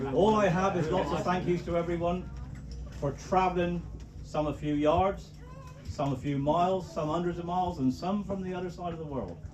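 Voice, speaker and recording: Over music in the background and with audible room echo, a man with a Cornish accent talks high in pitch at a moderate pace with fairly even intonation. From Cornwall. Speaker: wedding speaker, father of the bride. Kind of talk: wedding speech. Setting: wedding reception with microphone. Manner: jokey, informal.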